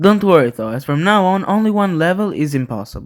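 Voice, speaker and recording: A man with a non-native accent talks at a fairly quick pace in a high pitch, with ordinary pitch variation. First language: not English. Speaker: gaming YouTuber. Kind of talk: scripted narration.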